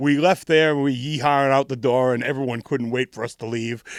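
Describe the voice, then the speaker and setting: With a New England accent, a man speaks at a moderate pace in a fairly high pitch. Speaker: punk band frontman and singer. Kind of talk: casual interview chat, storytelling. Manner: halting, many repeated words.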